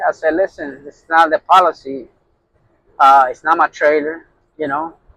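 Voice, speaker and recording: The voice belongs to a man with a bright, sharp tone. He talks at a moderate pace with a fairly high pitch and ordinary pitch variation. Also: dry, close sound with no echo. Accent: strong Puerto Rican. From Puerto Rican, grew up in New York. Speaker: truck driver, owner operator. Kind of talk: casual vlog talk.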